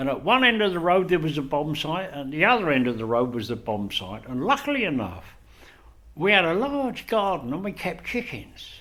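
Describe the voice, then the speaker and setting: A man talks with a South London accent at a moderate pace. His bright, sharp tone moves through very wide pitch swings. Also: fairly high pitch for a man. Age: 70s. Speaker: retired photographer and former teacher. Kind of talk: oral history interview. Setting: library meeting room.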